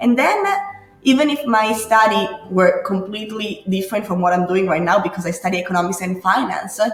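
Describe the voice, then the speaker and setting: With an Italian accent, a woman speaks at a medium pitch and a fairly quick pace with ordinary pitch variation, amid noticeable background noise and audible room echo. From Italy. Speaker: grappa distiller. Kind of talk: interview. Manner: halting; animated.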